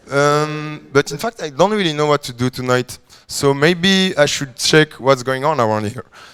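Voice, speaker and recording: Against noticeable background noise, a man with a fairly high pitch and ordinary pitch variation speaks at a fairly slow pace. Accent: French. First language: French. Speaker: coding bootcamp student. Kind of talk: product demo presentation. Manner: halting.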